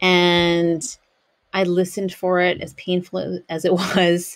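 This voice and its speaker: A woman speaks with a fairly low pitch. The background is quiet. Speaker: podcast host. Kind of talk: reflective podcast monologue. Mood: calm, reflective. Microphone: studio mic.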